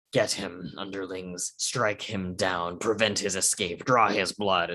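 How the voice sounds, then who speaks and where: In a put-on character voice, a man speaks fairly slowly with a very deep, low pitch, a menacing tone, hissing, and flat, monotone intonation. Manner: menacing, dark.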